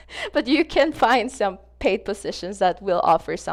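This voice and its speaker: On a very clean recording with a silent background, a woman speaks fairly quickly with a Spanish accent. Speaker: gaming content creator. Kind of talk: casual vlog advice talk to viewers. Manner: casual, filler-heavy, repetitive.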